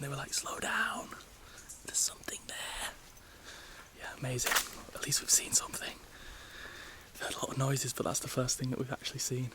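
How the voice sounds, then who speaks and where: Whispering in an English accent, a man talks at a fairly quick pace with long, frequent pauses and noticeable background noise. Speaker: travel vlogger. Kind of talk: travel vlog narration. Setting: outdoors in jungle. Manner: quiet, near whisper; animated.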